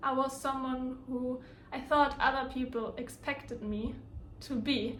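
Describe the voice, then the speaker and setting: A high-pitched woman with a German accent, fairly slow and monotone with flat intonation, amid audible room echo. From Germany. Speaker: lifestyle vlogger. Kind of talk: personal storytelling vlog. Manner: casual, with hesitations.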